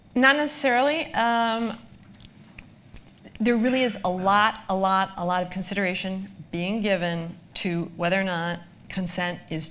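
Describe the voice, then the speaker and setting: With an American accent, a woman speaks at a medium pitch with ordinary pitch variation and long, frequent pauses, amid audible room echo. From United States. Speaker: lawyer, data protection expert. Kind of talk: live presentation Q&A. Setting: live event with audience. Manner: frequent filler ums.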